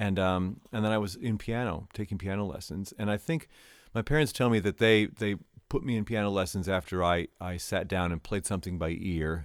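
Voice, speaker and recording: A man with an American accent speaks at a fairly quick pace in a normal speaking voice, his pitch fairly low. The recording is very clean, with a silent background. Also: ordinary pitch variation. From Michigan, near Grand Rapids. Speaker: university choir director. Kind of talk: interview. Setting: studio.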